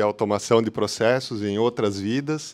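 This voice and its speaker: Against a quiet background, a man speaks at a moderate pace in a medium pitch with fairly even intonation. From southern Brazil, Porto Alegre. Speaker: technology executive. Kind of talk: conference talk. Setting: hybrid meetup event. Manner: halting, many fillers.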